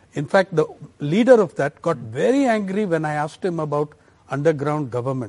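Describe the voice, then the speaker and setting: Fairly quick and lively in intonation, a man with an Indian accent speaks at a fairly high pitch. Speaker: journalist and author. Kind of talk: interview. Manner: thoughtful, measured.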